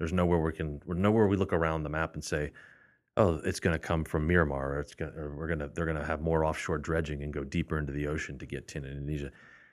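A man with an American accent speaks very fast in a very deep, low voice with fairly even intonation, captured in a very clean recording with a silent background. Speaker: metals trading executive. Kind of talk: casual chat.

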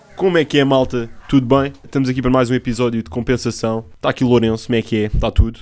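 The man talks at a very fast pace with hardly any pauses. His medium-pitched voice keeps a fairly even intonation. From Setúbal, Portugal. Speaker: podcast co-host. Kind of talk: casual chat. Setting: studio.

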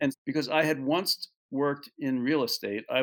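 An American-accented man with an ordinary speaking voice, a fairly high pitch and lively intonation. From New York. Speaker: animal sanctuary co-founder. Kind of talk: interview.

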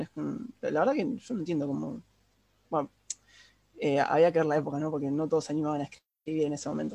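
At a very fast pace, a man talks at a fairly high pitch. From Argentina. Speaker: podcast host. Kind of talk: casual chat.

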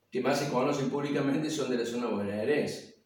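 The man's pitch varies in an ordinary way, with room echo clearly audible. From Argentina, Córdoba province countryside (Río Cuarto). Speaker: folk poetry reciter. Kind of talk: casual talk about his craft. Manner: halting, many fillers and repetitions.

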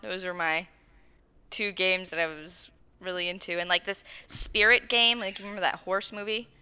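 At a moderate pace and medium pitch, a woman with an American accent and a normal speaking voice shows ordinary pitch variation. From Arizona. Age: 20s. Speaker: podcast co-host. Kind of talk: casual chat.

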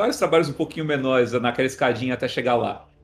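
Here a man talks at a very fast pace. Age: 40s. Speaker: film and commercial director. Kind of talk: interview.

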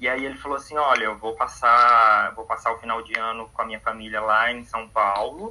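At a moderate pace with hardly any pauses, the speech keeps a fairly even intonation. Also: man, medium pitch for a man. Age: 20s. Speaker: podcast guest. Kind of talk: casual chat. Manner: halting.

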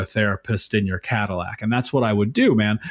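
The speech moves at a fairly quick pace with ordinary pitch variation. Behind it, the background is quiet. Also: man. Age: 30s. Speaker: trauma coach. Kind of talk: casual chat. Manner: animated.

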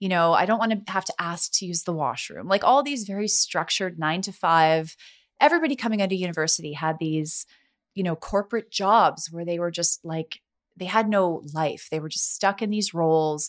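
A woman's ordinary speaking voice, fairly low in pitch with ordinary pitch variation, at a fairly quick pace on a very clean recording with a silent background. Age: 40s. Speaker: realtor. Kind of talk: casual chat.

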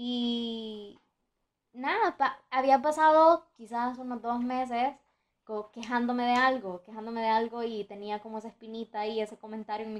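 At a moderate pace and fairly high pitch, a woman speaks in a normal speaking voice with ordinary pitch variation. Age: young (19). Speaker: podcaster. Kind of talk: casual monologue.

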